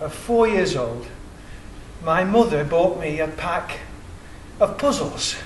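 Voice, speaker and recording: With an English accent, a man speaks at a fairly slow pace and a high pitch. There is noticeable background noise and audible room echo. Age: 60s. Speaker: independent researcher. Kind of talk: public presentation.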